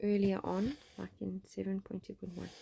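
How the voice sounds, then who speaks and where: A soft-spoken woman with a dark, mellow tone at a fairly slow pace, in a dry, close sound with no echo. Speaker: science teacher. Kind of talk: tutorial.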